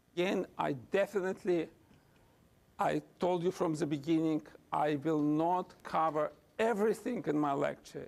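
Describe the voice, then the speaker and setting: Using a Russian accent, a man with a high voice talks at a fairly slow pace with ordinary pitch variation. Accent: non-native English, Russian. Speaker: physician and researcher. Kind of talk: lecture; answering audience questions. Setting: lecture hall with audience.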